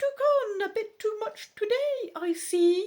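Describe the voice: A put-on character voice, squeaky and extremely high-pitched, at a fairly slow pace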